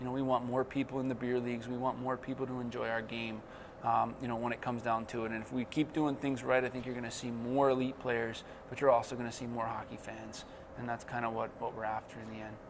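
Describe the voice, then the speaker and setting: Over noticeable background noise, someone with an American accent speaks at a very fast pace in a monotone, flat intonation. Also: man, medium pitch for a man. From New Jersey. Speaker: hockey coach and former player. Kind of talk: interview. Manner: casual, with many fillers.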